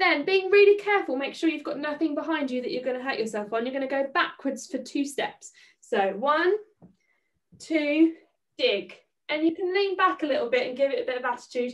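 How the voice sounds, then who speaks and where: Moving at a fairly quick pace, a woman with a high pitch speaks with very wide pitch swings. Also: quiet background. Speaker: dance teacher. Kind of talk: tutorial. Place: home room. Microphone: camera far.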